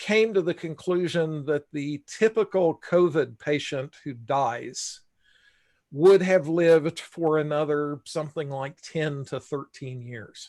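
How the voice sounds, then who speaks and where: A normal speaking voice from a man, fairly high in pitch and fairly slow, with a dry, close sound with no echo over a quiet background. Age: 60s. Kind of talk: casual live-stream discussion. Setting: live stream.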